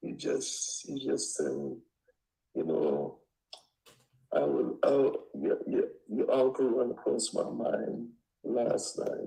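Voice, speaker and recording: Speaking very slowly with long, frequent pauses, a man talks in a Caribbean accent. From Trinidad. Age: 60s. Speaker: home seller. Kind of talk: phone call with investor, casual negotiation. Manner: halting, many repetitions.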